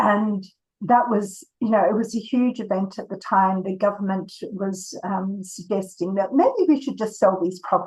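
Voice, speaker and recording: A somewhat breathy woman's voice, medium in pitch, with ordinary pitch variation. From Australia. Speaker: author and editor. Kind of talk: interview.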